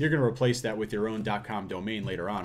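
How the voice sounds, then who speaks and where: Audible room echo surrounds a man with fairly low pitch who speaks at a very fast pace. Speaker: online business course creator. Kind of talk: tutorial. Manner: casual, filler-heavy.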